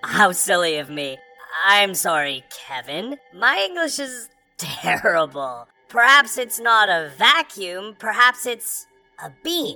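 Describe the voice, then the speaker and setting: With faint music in the background, a female-sounding put-on character voice at a middle pitch moves at a fairly slow pace with very wide pitch swings. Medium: audio drama. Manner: overly polite, literal-minded, repeats names.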